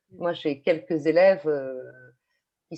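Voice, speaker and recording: Her pitch varying in an ordinary way, a woman speaks fairly low for a woman. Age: 50s. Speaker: teacher. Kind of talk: online panel discussion. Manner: halting, many fillers and repetitions.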